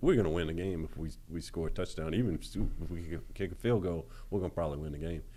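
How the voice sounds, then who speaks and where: This man's pitch is very deep and low. He talks at a fairly quick pace with a Louisiana accent. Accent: Louisiana Southern US. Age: 50s. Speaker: former college quarterback. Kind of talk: interview. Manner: halting.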